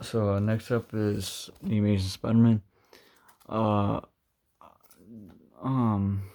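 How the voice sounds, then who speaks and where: A man's dark, mellow, fairly low voice, monotone and flat, very slow, with long, frequent pauses. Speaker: collector reviewing his own Blu-ray collection. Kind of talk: casual show-and-tell video. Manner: halting, with many fillers.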